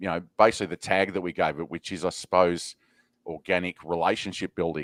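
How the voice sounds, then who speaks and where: A man with an Australian accent speaks at a fairly quick pace in a very deep, low voice, his intonation flat and monotone, on a very clean recording with a silent background. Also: dry, close sound with no echo. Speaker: podcast host. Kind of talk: podcast interview.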